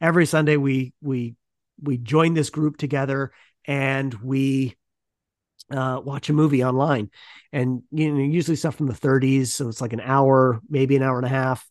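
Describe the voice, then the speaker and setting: A man speaks in a normal speaking voice with a Canadian accent, at medium pitch and a moderate pace. His intonation is fairly even, and the background is quiet. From Ontario, Canada. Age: 40s. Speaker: podcast host and academic. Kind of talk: interview answers, casual.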